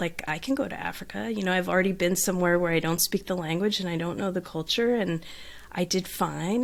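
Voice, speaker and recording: On a very clean recording with a silent background, a woman speaks at a fairly low pitch with a Southern California accent. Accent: Southern California twang. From Southern California, beach town. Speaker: life coach. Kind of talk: podcast interview.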